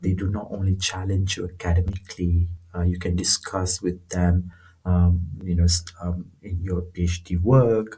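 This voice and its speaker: A man talks at a moderate pace in a very deep, low pitch with a dark, mellow tone. His delivery is monotone and flat, and somewhat breathy. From northern Malaysia, rural. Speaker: researcher. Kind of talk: casual interview. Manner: halting, many fillers.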